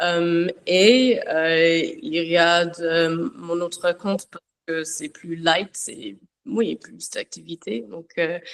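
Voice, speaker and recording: Very slow delivery with an English accent, lively intonation, and big swings in loudness. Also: woman, fairly low pitch for a woman. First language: English (speaking French). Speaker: château owner and social media creator. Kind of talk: panel talk. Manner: halting, many hesitations.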